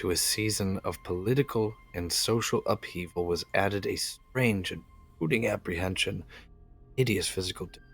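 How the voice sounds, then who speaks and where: A man speaks at a moderate pace with a fairly low pitch, music playing in the background. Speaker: amateur horror story reader. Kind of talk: dramatic horror story reading. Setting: home microphone, some clipping.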